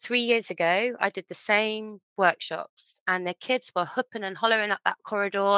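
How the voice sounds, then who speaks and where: A woman speaks with an English accent in a bright, sharp tone and fairly even intonation. The very clean recording has a dry, close sound with no echo and a silent background. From England. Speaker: children's author. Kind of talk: interview.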